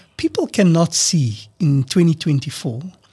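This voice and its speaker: Lively intonation in a somewhat breathy male voice. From South Africa. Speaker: political party leader. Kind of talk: radio interview. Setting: studio.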